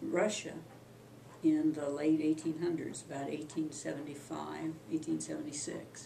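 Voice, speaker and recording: With an American accent, a woman speaks in a very deep, low voice amid noticeable background noise and audible room echo. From Kansas, US Midwest. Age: 70s. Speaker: family elder recounting history. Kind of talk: oral history interview. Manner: halting, many fillers.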